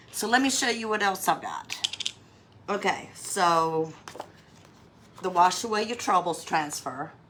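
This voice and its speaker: There's noticeable background noise as a woman with an American accent speaks at a fairly slow pace, with ordinary pitch variation. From US South, North Carolina. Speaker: craft livestreamer. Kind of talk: live craft tutorial. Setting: livestream. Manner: casual, chatty.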